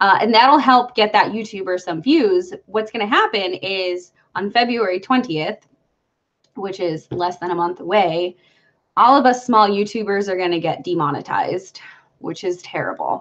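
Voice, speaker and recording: A woman with an American accent uses a normal speaking voice at a medium pitch. She keeps a moderate pace with ordinary pitch variation. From Brooklyn, New York. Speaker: YouTuber. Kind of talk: casual live stream chat. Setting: live stream.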